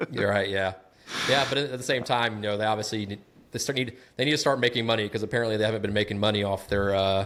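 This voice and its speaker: Here a man talks at a very fast pace with a slight Southern US accent. His pitch is fairly low and his intonation fairly even. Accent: bit of a Southern. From US South, Atlanta, Georgia. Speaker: smart home content creator. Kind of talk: casual podcast chat.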